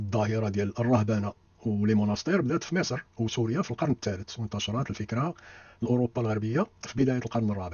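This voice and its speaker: A man with a Moroccan accent, somewhat breathy, at a fairly quick pace. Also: medium pitch for a man, ordinary pitch variation. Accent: Moroccan Darija. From Morocco. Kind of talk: history lecture narration.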